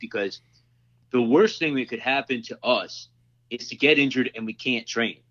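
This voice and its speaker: A man with a plain, everyday voice speaks at a fairly quick pace, his pitch medium with ordinary variation. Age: 30s. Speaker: self-defense instructor. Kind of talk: casual interview chat.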